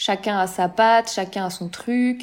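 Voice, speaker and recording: An ordinary speaking voice talks with ordinary pitch variation. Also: woman. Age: 30s. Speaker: social media manager. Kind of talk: interview.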